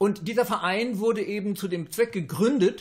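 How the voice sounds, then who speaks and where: A man speaks in a high voice with a quiet background behind him. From Germany (Westphalia); Germany. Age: 60s. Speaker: astrologer; interviewee. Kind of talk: interview; interview answer. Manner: halting, with filler sounds.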